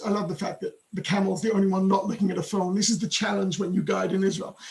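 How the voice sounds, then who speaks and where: With an English accent, a man speaks very fast in a high pitch and a monotone, flat intonation. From England. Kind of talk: webinar presentation.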